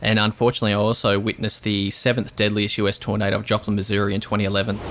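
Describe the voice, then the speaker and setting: Delivery comes at a very fast pace in an Australian accent, with monotone, flat intonation and very even loudness. Noticeable background noise sits underneath. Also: man. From Australia, southeast Queensland. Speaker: storm chaser. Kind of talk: interview.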